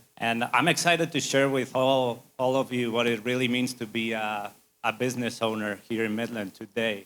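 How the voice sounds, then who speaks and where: A man with a Spanish accent speaks with fairly even intonation. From Spain. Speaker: civil engineering firm owner. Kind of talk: business presentation.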